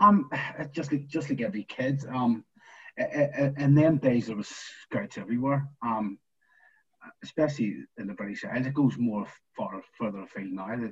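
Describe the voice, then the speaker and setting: With a Northern Irish accent, a man speaks at a moderate pace and medium pitch, slightly breathy, with lively intonation and long, frequent pauses. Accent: Northern Irish (Belfast). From Northern Ireland, East Belfast. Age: 40s. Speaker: former footballer. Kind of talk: casual interview.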